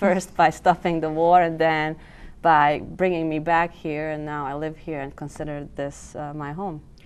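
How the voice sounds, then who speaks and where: A woman speaks with a very deep, low pitch and flat, monotone intonation. Her loudness swings widely. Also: moderate pace. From Bosnia and Herzegovina (Mostar). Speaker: cultural club member. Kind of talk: TV interview.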